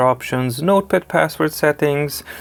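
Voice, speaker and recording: A man with a Serbian accent speaks at a moderate pace with ordinary pitch variation amid noticeable background noise. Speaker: tech reviewer. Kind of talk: tutorial. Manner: animated.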